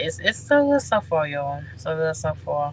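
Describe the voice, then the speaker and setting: The talking proceeds at a moderate pace while noticeable background noise carries on underneath. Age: 30s. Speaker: truck driver vlogger. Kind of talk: casual vlog talk to viewers. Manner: halting, many fillers.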